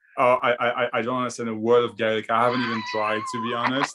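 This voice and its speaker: A man's medium-pitched voice, fairly even in intonation, comes through noticeable background noise. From France. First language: French. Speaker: spiritual discussion guest. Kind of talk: casual chat. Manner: halting, many repetitions.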